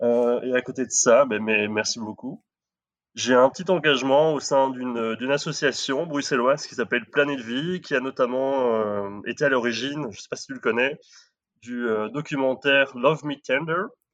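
An ordinary speaking voice from a man at medium pitch, moderate pace and ordinary pitch variation, with big swings in loudness against a quiet background. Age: 30s. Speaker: marketing manager, listener guest. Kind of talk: casual chat.

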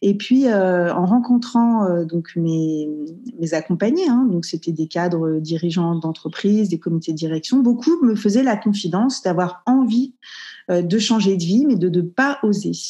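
Her medium-pitched voice has a dark, mellow tone and is somewhat breathy. The woman talks at a fairly slow pace with lively intonation. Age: 40s. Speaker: entrepreneur. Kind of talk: casual interview.

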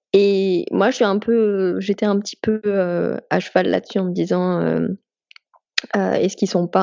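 A woman's medium-pitched voice at a fairly slow pace. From France. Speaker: comics artist. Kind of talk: casual interview.

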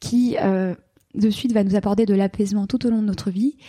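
The voice has a dark, mellow tone and is somewhat breathy. Its pitch varies in an ordinary way. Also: woman. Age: 30s. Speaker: couples therapist and sex therapist. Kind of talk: interview.

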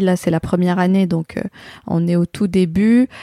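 A woman speaks with a dark, mellow tone at a fairly low pitch and fairly quick pace. Her intonation is fairly even, and the sound is dry and close with no echo. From Algeria. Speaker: podcast host. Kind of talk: interview; scripted intro. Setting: online interview.

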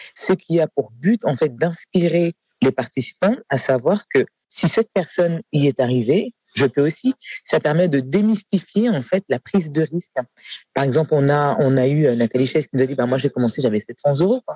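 With a dark, mellow tone and a somewhat breathy quality, a man talks at a moderate pace in a fairly high pitch, his intonation lively and his loudness very even, the sound dry and close with no echo. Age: 40s. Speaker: nursing home director. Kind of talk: interview. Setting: café.

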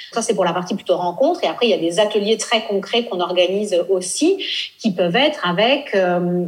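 A woman with a medium pitch talks at a fairly quick pace with lively intonation. Noticeable background noise can be heard. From France, raised in Nice. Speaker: blogger and travel entrepreneur. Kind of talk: interview.

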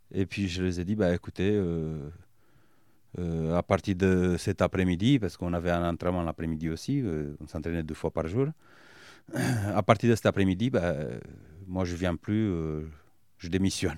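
With a Romanian accent and a very deep, low pitch, a man talks at a moderate pace with long, frequent pauses, recorded very cleanly with a silent background and a dry, close sound with no echo. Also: ordinary pitch variation. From Romania, Bucharest. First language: Romanian (speaking French). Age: 30s. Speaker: business owner and former rugby player. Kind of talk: interview. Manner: hesitant, many fillers.

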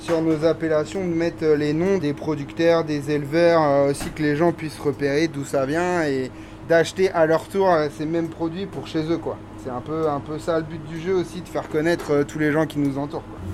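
This man's fairly high voice moves at a moderate pace through noticeable background noise. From Brittany, Ille-et-Vilaine. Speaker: chef. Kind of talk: casual interview.

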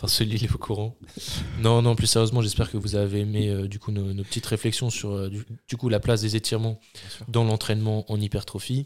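Speaking at a fairly quick pace, a man uses a fairly low pitch and a monotone, flat intonation. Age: 20s. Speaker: sports podcast host, student coach. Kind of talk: casual chat.

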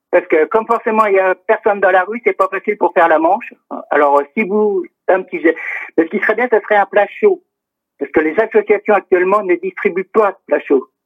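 A man speaks fairly quickly in a high voice. His pitch moves in an ordinary way. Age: 50s. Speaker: community radio presenter and volunteer. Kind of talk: public service appeal. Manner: halting, many hesitations.

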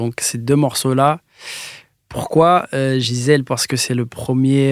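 A man with a medium-pitched voice speaks at a fairly slow pace, keeping his intonation fairly even. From France, Metz. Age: 20s. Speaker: music producer. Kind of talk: casual chat.

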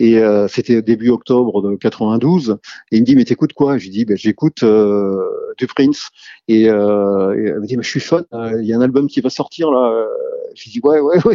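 A man's plain, everyday voice, medium in pitch, with ordinary pitch variation and a fairly slow pace. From Rennes, Brittany, France. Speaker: music fan. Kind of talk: testimony.

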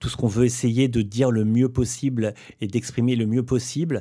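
A man at medium pitch with a dark, mellow tone and a moderate pace, on a very clean recording with a silent background. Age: 40s. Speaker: bassist. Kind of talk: casual chat.

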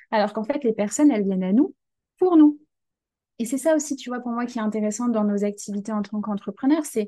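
A woman speaks with a fairly high pitch. Her tone is dark and mellow. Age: 20s. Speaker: career change coach. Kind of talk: interview conversation.

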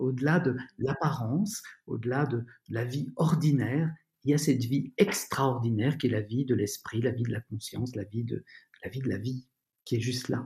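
A somewhat breathy voice at a moderate pace. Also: man, medium pitch for a man, ordinary pitch variation. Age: 50s. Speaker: author and former doctor, founder of a school. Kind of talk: interview about personal development. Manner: hesitant, with frequent fillers.

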